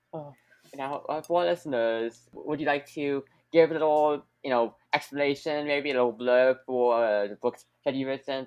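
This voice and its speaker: The man has a plain, everyday voice at a medium pitch. He talks at a moderate pace with ordinary pitch variation. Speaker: podcast host. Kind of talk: casual interview.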